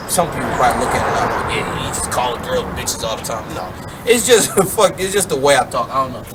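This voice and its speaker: A man talks very fast with lively intonation. The room echo is audible, and background noise is noticeable. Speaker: podcast co-host. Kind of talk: casual chat. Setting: outdoors. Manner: loud.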